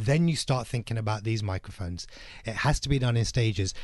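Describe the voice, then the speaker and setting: Somewhat breathy, medium-pitched male voice, very fast pace, ordinary pitch variation, quiet background. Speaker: podcast production agency owner. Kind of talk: radio interview. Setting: studio.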